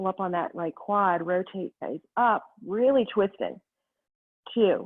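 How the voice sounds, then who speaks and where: A woman talks at a fairly slow pace in a plain, everyday voice. Her pitch is medium, with ordinary pitch variation. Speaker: yoga instructor. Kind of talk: guided yoga class instruction. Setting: video call class. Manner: calm, rhythmic cueing with breath.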